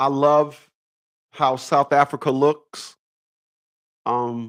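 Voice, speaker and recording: The sound is dry and close with no echo. A man with a fairly high pitch speaks very slowly in a monotone, flat way. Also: very clean recording, silent background. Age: 50s. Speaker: YouTube live streamer. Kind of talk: casual live stream monologue. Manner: halting.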